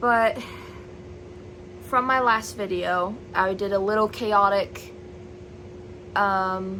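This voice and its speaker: Loud and very slow, a woman at a medium pitch speaks with fairly even intonation and long, frequent pauses. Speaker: vlogger and aspiring novelist. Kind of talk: casual vlog chat to camera.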